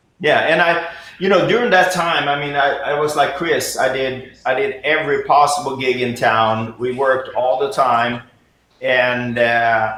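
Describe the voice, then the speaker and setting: Audible room echo surrounds a man speaking with a Swedish accent. His voice sits at medium pitch with ordinary pitch variation. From Sweden. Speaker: jazz pianist and professor. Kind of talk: interview. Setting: video call.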